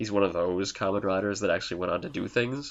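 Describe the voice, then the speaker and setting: Talking at a very fast pace, a man with a Canadian accent keeps his intonation fairly even. His pitch is fairly low. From Canada. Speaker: podcast co-host. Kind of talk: casual chat.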